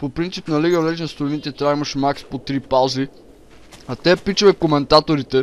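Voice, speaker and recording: Speaking at a moderate pace, a man uses an unremarkable speaking voice pitched fairly high. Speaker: gaming YouTuber. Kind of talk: casual chat.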